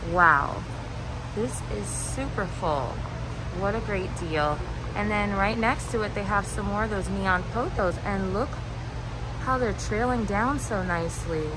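At a fairly slow pace, the speaker leaves long, frequent pauses over noticeable background noise. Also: woman. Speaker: plant vlogger. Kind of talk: casual vlog chat. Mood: enthusiastic. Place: shop. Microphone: phone near.

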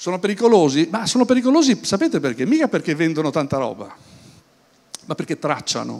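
A man's voice at a fairly quick pace with very wide pitch swings. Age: 60s. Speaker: business speaker; speaker. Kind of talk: conference talk. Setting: stage with audience at an event. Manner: hesitant, with many fillers and repetitions. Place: hall. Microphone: handheld.

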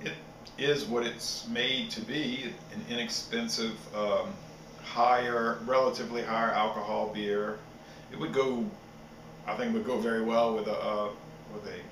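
Noticeable background noise sits behind a man speaking. He talks at a fairly slow pace with ordinary pitch variation. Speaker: beer reviewer. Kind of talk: casual review chat. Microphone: webcam.

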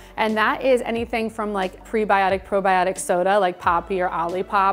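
A woman speaks at a moderate pace with fairly even intonation over faint background music. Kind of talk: interview answer. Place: shop. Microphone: lapel.

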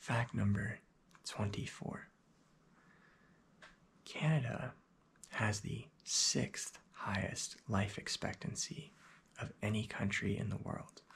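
A man whispering at a very slow pace with long, frequent pauses. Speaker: facts video host. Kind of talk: casual talk reading facts. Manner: soft-spoken, hushed ASMR reading voice. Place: home room. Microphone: webcam.

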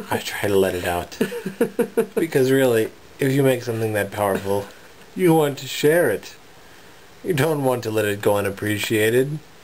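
Long, frequent pauses break up speech that moves at a moderate pace with lively intonation. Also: man. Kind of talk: casual vlog chat. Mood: playful, joking, laughing. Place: home room. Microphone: phone near.

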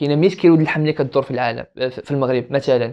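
Against a quiet background, a man speaks very fast with fairly even intonation. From Morocco. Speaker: business student; podcast guest. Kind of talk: casual chat. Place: home room. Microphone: lapel.

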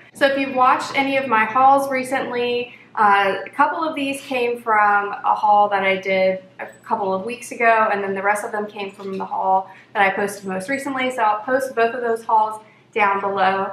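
Audible room echo and light background noise surround a woman who speaks at a moderate pace with fairly even intonation. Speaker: food video host. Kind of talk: casual vlog chat. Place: home room. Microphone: camera far.

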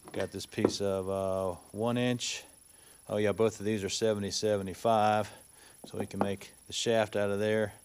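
Light background noise sits behind a man speaking in a fairly low pitch. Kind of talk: tutorial. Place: workshop. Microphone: camera far.

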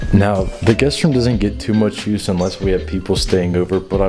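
Over clear background music, a man talks fairly quickly with ordinary pitch variation. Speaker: home tour host. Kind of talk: casual tour commentary. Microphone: handheld.

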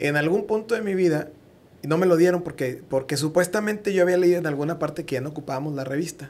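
Talking at a very fast pace, a man uses a fairly high pitch with ordinary pitch variation. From Mexico. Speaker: podcast host. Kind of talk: casual interview chat. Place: studio. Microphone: studio mic.

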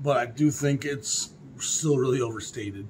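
Light background noise accompanies speech with fairly even intonation. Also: man. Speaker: record collector vlogger. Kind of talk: casual vlog chat. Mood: opinionated, mildly scornful. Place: home room.

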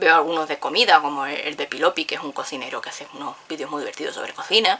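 A woman's low-pitched voice, bright and sharp in tone, at a fast pace with ordinary pitch variation

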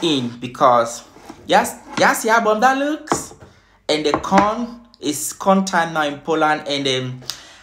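Fairly slow speech from a man under noticeable background noise. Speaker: food vlogger. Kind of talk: casual mukbang vlog chat. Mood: cheerful, smiling. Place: home room. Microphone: phone near.

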